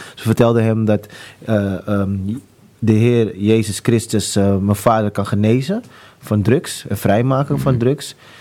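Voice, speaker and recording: Very slow and fairly low-pitched, this man's voice has a dark, mellow tone. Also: ordinary pitch variation. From Amsterdam, Netherlands. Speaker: author sharing conversion story. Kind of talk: testimony. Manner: halting, many fillers.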